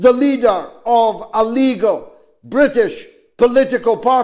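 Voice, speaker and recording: A man talks with a Scottish accent. His pitch is extremely high. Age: 70s. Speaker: politician. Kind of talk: public statement.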